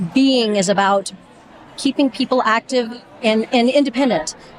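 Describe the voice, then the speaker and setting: At a moderate pace, an ordinary speaking voice shows ordinary pitch variation. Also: woman. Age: 60s. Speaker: physical therapist, volunteer reader. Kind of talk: interview.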